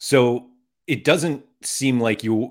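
The recording is very clean, and the background is silent. A man talks, his pitch varying in an ordinary way. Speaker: podcast host. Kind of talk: casual livestream conversation. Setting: livestream.

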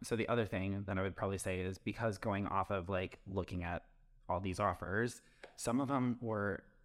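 With an American accent, a man with fairly low pitch and fairly even intonation speaks in an ordinary speaking voice at a moderate pace, in a very clean recording with a silent background. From Wisconsin. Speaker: real estate agent. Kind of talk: casual podcast chat about real estate.

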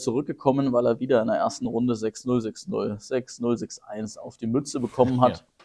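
With a dark, mellow tone at medium pitch, a man speaks at a moderate pace with fairly even intonation. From Lower Franconia, Germany (Karlstadt near Würzburg). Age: 30s. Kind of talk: casual podcast conversation.

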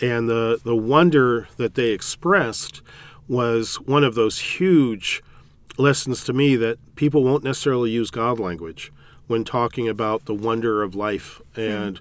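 This man has an American accent, a medium pitch, and ordinary variation in his pitch. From California. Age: 60s. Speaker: priest. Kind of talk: interview.

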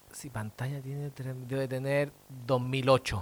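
A man's medium-pitched voice with a Chilean accent, at a very slow pace. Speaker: comedian. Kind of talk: casual debate.

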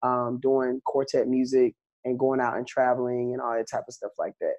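With a Southern US accent, a man is talking. He moves at a fairly quick pace. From US South. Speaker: country singer. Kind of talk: interview.

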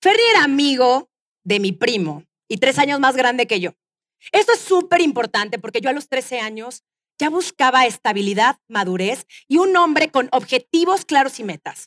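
A woman with a Mexican accent speaks at a moderate pace in a high pitch with very wide pitch swings. The sound is dry and close with no echo. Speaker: podcast host. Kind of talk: live interview before audience; storytelling monologue. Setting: stage with audience.

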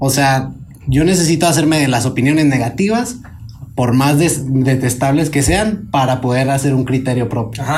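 At a moderate pace, a man with a medium pitch keeps a very even loudness and ordinary pitch variation, with audible room echo and noticeable background noise. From northern Mexico. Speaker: podcast host. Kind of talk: casual panel discussion.

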